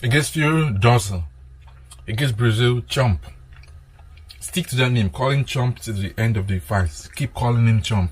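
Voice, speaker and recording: A somewhat breathy man at medium pitch talks at a moderate pace, his intonation lively and his speech marked by long, frequent pauses. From Nigeria. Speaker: boxing commentator. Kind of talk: reaction commentary.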